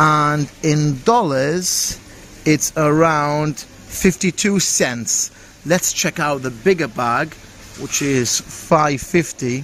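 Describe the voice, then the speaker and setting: A man speaks at a very slow pace with a fairly high pitch and ordinary pitch variation. The sound is dry with no echo, with light background noise. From UK. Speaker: travel vlogger. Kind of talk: vlog walkthrough. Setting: supermarket on location. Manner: animated. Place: shop.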